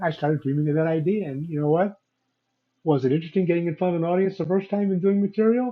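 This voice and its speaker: A man with an American accent, high pitch, ordinary pitch variation and a very fast pace. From Chicago, US Midwest. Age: 70s. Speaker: business owner and entrepreneur. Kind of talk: interview conversation.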